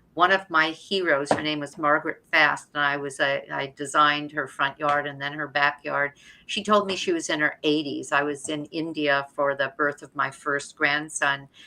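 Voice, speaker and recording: A woman's very deep, low voice, bright and sharp in tone, monotone and flat, with hardly any pauses, on a very clean recording with a silent background. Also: moderate pace. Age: 70s. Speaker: author and health cooking teacher. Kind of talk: live stream interview. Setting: live stream.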